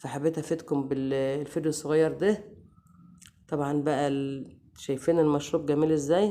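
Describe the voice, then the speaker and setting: A woman's very deep, low voice with a dark, mellow tone and fairly even intonation at a moderate pace. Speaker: cooking channel host. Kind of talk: cooking tutorial.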